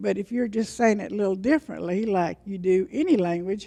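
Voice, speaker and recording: A woman speaks at a moderate pace in a medium pitch with ordinary pitch variation. Her tone is dark and mellow. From western North Carolina, USA. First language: Cherokee. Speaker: Cherokee language teacher. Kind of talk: conference panel talk.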